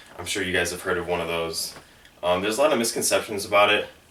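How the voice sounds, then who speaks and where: A man's very deep, low voice over noticeable background noise. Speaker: fitness YouTuber. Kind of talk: tutorial. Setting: home video with whiteboard. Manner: casual, with fillers.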